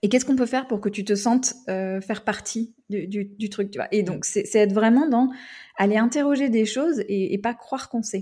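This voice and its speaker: A woman speaks at a moderate pace with a fairly high pitch and ordinary pitch variation. Her voice is somewhat breathy, with a dark, mellow tone. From United States. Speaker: podcaster and workplace culture consultant. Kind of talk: interview. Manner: halting.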